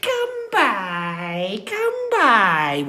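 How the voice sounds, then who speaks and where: A shrill put-on character voice at a middle pitch, with light background noise. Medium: read story. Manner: sing-song coaxing.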